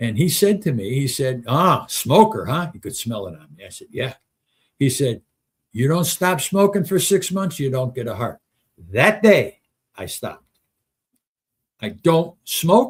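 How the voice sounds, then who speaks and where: Vocal fry at a fairly slow pace, with very wide pitch swings, big swings in loudness and long, frequent pauses on a very clean recording with a silent background. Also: man, fairly high pitch for a man. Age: 70s. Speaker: talk show host. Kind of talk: casual monologue on live stream. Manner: halting, thinking aloud.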